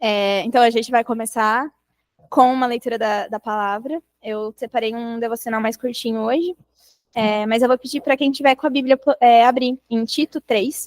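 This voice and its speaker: Soft-spoken and fairly high-pitched, a woman speaks at a moderate pace with fairly even intonation and long, frequent pauses, the sound dry and close with no echo. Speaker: bible study leader. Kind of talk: devotional talk.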